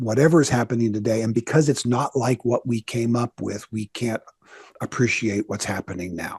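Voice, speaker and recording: A man speaks at a fairly quick pace and medium pitch, his voice somewhat breathy. His intonation is fairly even, and the sound is dry and close with no echo. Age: 60s. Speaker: pastor and author. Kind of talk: interview.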